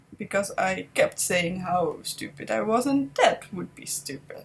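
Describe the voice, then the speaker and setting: She speaks in a Dutch accent. The woman's voice is somewhat breathy. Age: 20s. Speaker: vlogger and entrepreneur. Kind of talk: personal vlog monologue. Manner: halting.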